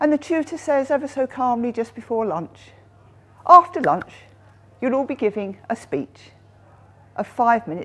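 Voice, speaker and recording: Vocal fry runs through speech at a moderate pace, with long, frequent pauses. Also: woman. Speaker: speaker. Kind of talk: storytelling speech. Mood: humorous, paced delivery. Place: hall.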